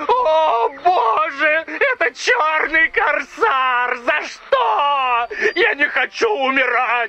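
A put-on character voice shouts at a high pitch and a very slow pace. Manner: mock wailing.

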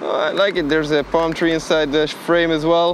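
The sound is dry, with no echo. Light background noise sits underneath. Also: man. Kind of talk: casual vlog chat. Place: beach.

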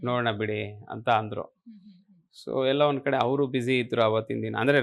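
A man's fairly even intonation in an unremarkable speaking voice. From Karnataka, Malnad (Thirthahalli). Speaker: film and theatre actor. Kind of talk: interview.

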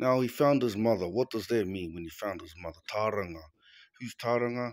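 In an ordinary speaking voice, the speaker talks at a moderate pace with ordinary pitch variation and big swings in loudness, in dry sound with no echo against a quiet background. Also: man. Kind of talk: casual explanatory vlog talk. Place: home room. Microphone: phone near.

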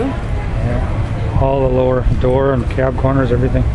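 Crowd noise can be heard behind the speaker. The voice is a man's. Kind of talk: casual conversation. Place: street. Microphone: phone near.

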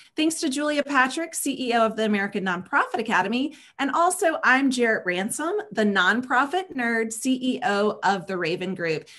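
The speaker has a slight Southern US accent, a bright, sharp tone and very wide pitch swings. The pace is moderate against a quiet background. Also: woman, high pitch for a woman. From US South. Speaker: talk show co-host and nonprofit consultant. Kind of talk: livestream interview show. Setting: video call. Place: home room. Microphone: video call.

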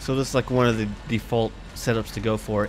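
Noticeable background noise accompanies a man speaking at a moderate pace and a medium pitch. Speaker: gamer. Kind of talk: casual gameplay commentary. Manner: casual, rambling, halting.

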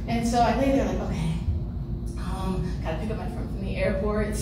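Room echo and noticeable background noise surround a woman's voice. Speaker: stand-up comedian. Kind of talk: stand-up comedy set with crowd work and self-deprecating punchlines. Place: stage.

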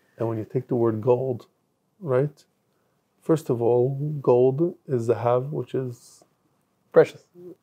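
A man speaks very slowly with long, frequent pauses and fairly even intonation. His voice is somewhat breathy over a quiet background. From Israel. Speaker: rabbi; guest. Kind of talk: casual chat. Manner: halting. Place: studio.

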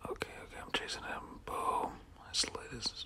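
Whispering over noticeable background noise. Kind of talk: whispered gameplay commentary. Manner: whispered.

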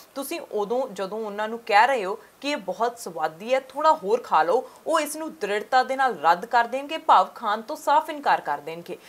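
Swinging very widely in pitch and with big shifts in loudness, a woman talks at a fairly high pitch. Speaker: news reporter. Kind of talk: TV news report voice-over.

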